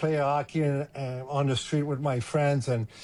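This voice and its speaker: With music playing in the background, a man speaks at a moderate pace in a medium pitch with a Quebec French accent. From Quebec, Montreal. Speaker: former hockey player and scout. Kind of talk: casual interview.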